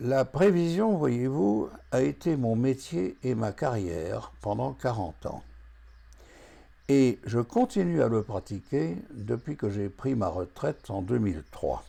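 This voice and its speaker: A man's medium-pitched voice, dark and mellow in tone, very slow, with very wide pitch swings. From France. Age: 80s+. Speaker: retired forecasting consultant, association founder. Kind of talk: scripted address to camera.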